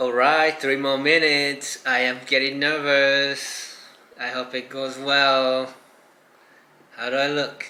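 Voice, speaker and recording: With audible room echo and noticeable background noise, the speaker talks at a very slow pace in a monotone with flat intonation. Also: man, fairly high pitch for a man. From Japan. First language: Japanese. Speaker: vlogger and fashion designer. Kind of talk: casual vlog chat.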